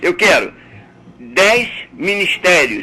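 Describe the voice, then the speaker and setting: A man's voice over noticeable background noise. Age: 70s. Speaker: caller. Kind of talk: heated debate. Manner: animated.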